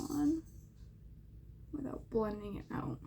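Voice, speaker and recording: A woman mumbling. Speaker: beauty YouTuber. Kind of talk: makeup tutorial chat. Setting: home, window open.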